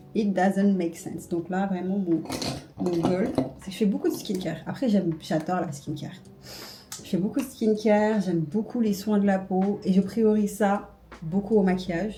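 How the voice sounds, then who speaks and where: Noticeable background noise is present throughout. The talking keeps a moderate pace, with ordinary pitch variation. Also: woman, medium pitch for a woman. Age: 20s. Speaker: beauty and lifestyle vlogger. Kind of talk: casual vlog talk to camera. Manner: casual, hesitant with fillers.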